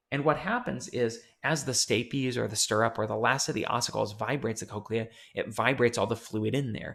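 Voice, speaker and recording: Over a quiet background, a man talks at a fairly quick pace. His pitch is medium, with ordinary variation. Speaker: psychology professor. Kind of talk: lecture. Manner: fast.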